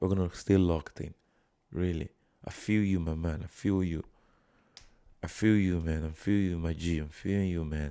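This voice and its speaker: With a Nigerian accent, a man speaks at a moderate pace in a very deep, low pitch, his tone dark and mellow, his intonation fairly even, and long pauses coming often. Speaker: live streamer. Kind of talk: casual live stream chat.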